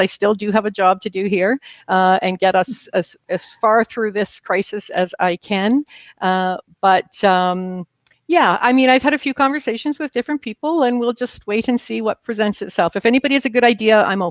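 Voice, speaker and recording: A woman speaks at a moderate pace and medium pitch, with ordinary pitch variation, in a dry, close sound with no echo against a quiet background. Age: 60s. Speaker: mayor. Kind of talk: live virtual interview. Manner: hesitant, many fillers.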